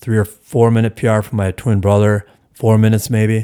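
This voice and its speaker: A man with an American accent speaks in a fairly low pitch with a dark, mellow tone, recorded very cleanly against a silent background. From US Midwest, Milwaukee area, Wisconsin. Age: 60s. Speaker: veteran distance runner and running coach. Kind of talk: interview.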